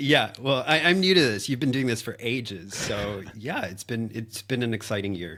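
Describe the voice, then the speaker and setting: A man with a Canadian accent speaks in a normal speaking voice at medium pitch and a moderate pace, with lively intonation and hardly any pauses. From Canada. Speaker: agency operations consultant. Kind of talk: casual chat.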